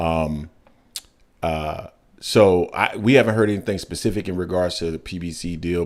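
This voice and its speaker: Very deep, low pitch from a man, with ordinary pitch variation. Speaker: boxing podcast host. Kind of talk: casual chat. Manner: fast.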